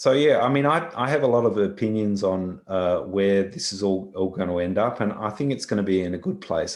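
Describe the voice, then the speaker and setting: Fairly low-pitched man with an Australian accent, moderate pace and ordinary pitch variation, on a very clean recording with a silent background. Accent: thick Australian. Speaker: visual effects software engineer. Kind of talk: conference talk Q&A.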